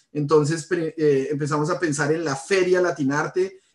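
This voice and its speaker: A man at a fairly high pitch, moderate in pace, with monotone, flat intonation. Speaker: industrial designer. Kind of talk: presentation. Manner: hesitant, many fillers.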